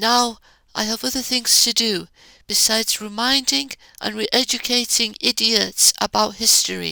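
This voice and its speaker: The speech comes at a fairly slow pace, with a dry, close sound and no echo. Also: woman. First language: Arabic. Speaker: YouTuber giving commentary. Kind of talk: rant.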